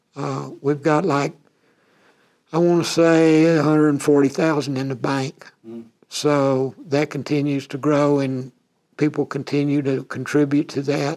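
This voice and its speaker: A man with a Texan accent and a fairly high pitch talks at a fairly slow pace in a monotone, flat intonation. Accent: Texan American English. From Texas, USA. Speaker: retired rodeo cowboy and animal health industry worker. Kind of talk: oral history interview answer. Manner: casual, conversational.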